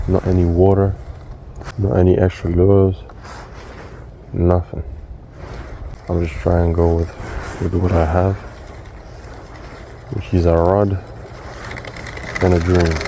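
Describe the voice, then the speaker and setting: A quiet man with a very deep, low pitch, fairly even intonation and a fairly slow pace, marked by long, frequent pauses, amid noticeable background noise. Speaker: fishing vlogger. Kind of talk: casual vlog commentary. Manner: quiet, low tone.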